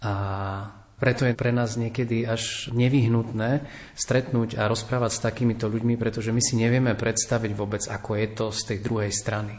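Monotone and flat in intonation, a man speaks at a medium pitch. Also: moderate pace. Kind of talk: radio panel discussion.

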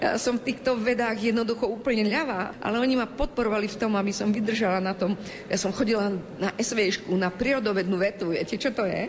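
This woman's fairly quick speech is accompanied by noticeable background noise. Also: fairly high pitch for a woman. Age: 60s. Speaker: Roma education activist. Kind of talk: interview.

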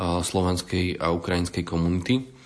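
A man speaks with a very deep, low pitch at a moderate pace. The background is quiet. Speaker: charity coordinator. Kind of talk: interview.

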